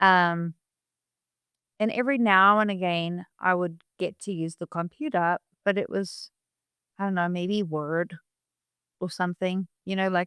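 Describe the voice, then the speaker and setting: A woman speaks at a fairly slow pace with long, frequent pauses, in a medium pitch with fairly even intonation and a bright, sharp tone. The recording is very clean and dry, close with no echo, over a silent background. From South Africa. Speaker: doctor. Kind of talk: casual chat. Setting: video podcast.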